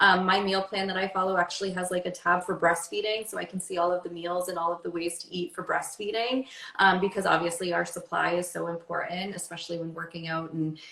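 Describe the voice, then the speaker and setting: A woman at a fairly low pitch and a very fast pace, with hardly any pauses and noticeable background noise. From Maine. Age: 30s. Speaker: fitness and wellness coach. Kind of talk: interview. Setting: livestream. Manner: animated.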